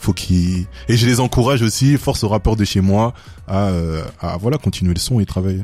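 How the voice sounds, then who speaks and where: This man's voice sits fairly low, with a dark, mellow tone. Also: ordinary pitch variation, moderate pace. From Belgium, Walloon Brabant (Louvain-la-Neuve). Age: 20s. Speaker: rapper. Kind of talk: radio interview.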